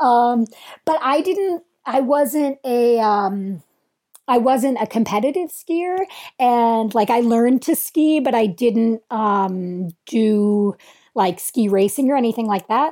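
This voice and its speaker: Very slow, lively intonation from a woman with a fairly high pitch, a dark, mellow tone and very even loudness. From Vermont, US Northeast. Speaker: trail runner and ecology researcher. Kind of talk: interview conversation.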